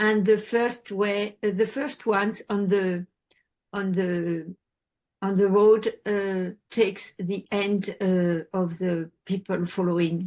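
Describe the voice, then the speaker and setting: A woman with a French accent, medium pitch, fairly even intonation and a very slow pace. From France. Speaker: support group member and sponsor. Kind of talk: sharing in a support group meeting. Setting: video call. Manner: halting.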